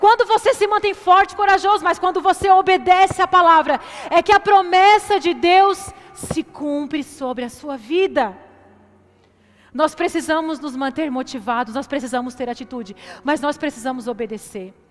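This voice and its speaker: Amid noticeable background noise, a woman speaks at an extremely high pitch and a moderate pace, her animated tone marked by very wide pitch swings and big swings in loudness. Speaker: preacher. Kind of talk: sermon.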